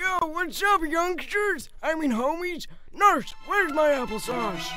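Over clear background music, a cartoonish character voice with an extremely high pitch talks at a fairly slow pace. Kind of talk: comedic cartoon voice acting.

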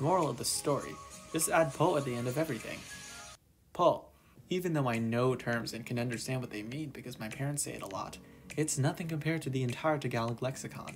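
Music plays in the background behind a voice with ordinary pitch variation. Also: man. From Canada. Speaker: YouTuber. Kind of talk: personal vlog narration.

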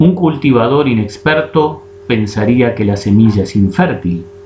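A man speaks with lively intonation. Light background noise and audible room echo are present. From Uruguay, Colonia (Carmelo). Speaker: chess teacher. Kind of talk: online class, live lecture. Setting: live stream. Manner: hesitant with fillers. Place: home room. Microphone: webcam.

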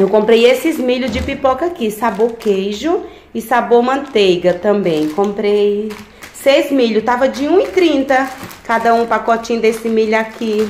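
Light background noise and audible room echo surround a woman's voice. She speaks fairly slowly, with ordinary pitch variation. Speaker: vlogger. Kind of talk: casual vlog chat. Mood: cheerful, excited. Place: kitchen. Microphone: phone near.

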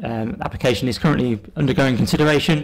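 Here a man talks at a very fast pace. His intonation is lively. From England. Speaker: planning officer. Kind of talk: council meeting presentation. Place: meeting room. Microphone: podium.

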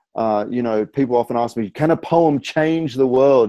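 A man speaks with an Australian accent against a quiet background. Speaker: spoken word poet, author and rapper. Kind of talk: interview answer. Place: home room. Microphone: earbuds.

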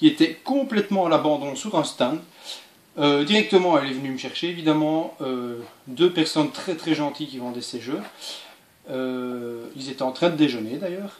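A man speaks at a moderate pace with long, frequent pauses, big swings in loudness, and ordinary pitch variation, amid audible room echo and light background noise. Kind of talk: casual vlog chat. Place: home room.

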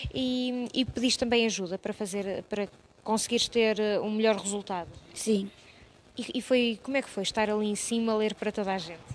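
Over light background noise, a woman with an unremarkable speaking voice talks fairly quickly at a fairly high pitch with fairly even intonation. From Portugal. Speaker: TV reporter interviewing students. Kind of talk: on-location interview. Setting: municipal library. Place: hall. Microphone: handheld.

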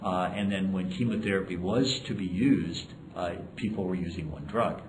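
The pace is moderate. Noticeable background noise can be heard. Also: man. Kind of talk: interview answer. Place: hall.

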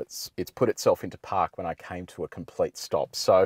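A man at a fairly quick pace, in a dry sound with no echo. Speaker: car reviewer. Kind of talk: commentary. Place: car. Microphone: lapel.

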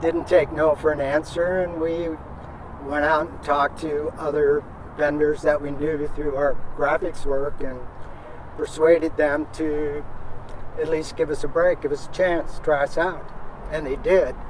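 Over clear background noise, the speech moves at a fairly slow pace with little pitch movement. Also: man, fairly high pitch for a man.

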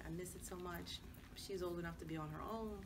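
Over noticeable background noise, a woman speaks fairly quickly. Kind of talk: casual group conversation. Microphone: camera far.

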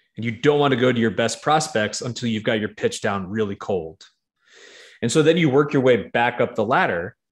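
An American-accented man speaks at a fairly quick pace with lively intonation against a quiet background. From New York. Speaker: real estate investor; podcast guest. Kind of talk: interview. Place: home room.

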